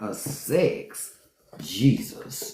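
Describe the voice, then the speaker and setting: Audible room echo is heard on this recording. The woman's voice has vocal fry. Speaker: podcast host. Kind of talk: casual chat. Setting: live stream. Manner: animated.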